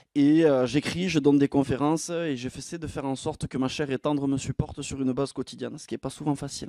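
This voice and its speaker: A man's fairly high, dark and mellow voice at a very fast pace, with hardly any pauses, big swings in loudness and a dry sound with no echo. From southwest France. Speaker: entrepreneur and conference speaker; presenter. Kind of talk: conference masterclass talk; conference talk. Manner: lively, with frequent filler 'euh'. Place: stage. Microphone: handheld.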